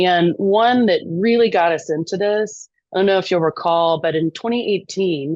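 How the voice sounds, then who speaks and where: A woman speaks at a moderate pace with a medium pitch and ordinary pitch variation. Her loudness stays very even. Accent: American. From East Texas. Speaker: lobbyist. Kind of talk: podcast interview.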